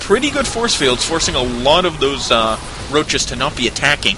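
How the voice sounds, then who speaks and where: A fairly high-pitched man delivers his words at a fairly quick pace, his pitch moving in an ordinary way, while noticeable background noise runs underneath. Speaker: esports commentator. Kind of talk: live commentary.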